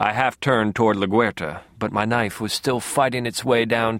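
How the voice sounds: The clip has a natural reading voice with fairly even intonation.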